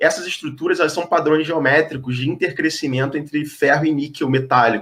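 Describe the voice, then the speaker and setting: With a Rio de Janeiro accent, a man speaks fairly quickly at a fairly high pitch, his intonation fairly even. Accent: Rio de Janeiro (carioca). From Brazil, Rio de Janeiro. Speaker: geologist. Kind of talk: explanatory talk in online interview. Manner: hesitant with frequent fillers.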